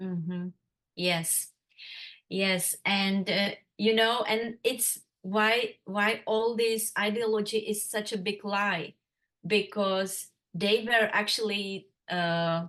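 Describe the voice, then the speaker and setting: Against a quiet background, a woman with a Czech accent speaks very slowly at medium pitch in a bright, sharp tone, with fairly even intonation and long, frequent pauses. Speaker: interviewee sharing life story. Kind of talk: interview. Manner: halting.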